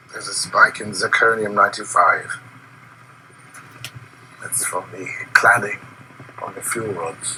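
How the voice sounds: A man puts on a character voice with a bright, sharp tone and a husky, rough edge at a fairly low pitch. He talks slowly with fairly even intonation and long, frequent pauses.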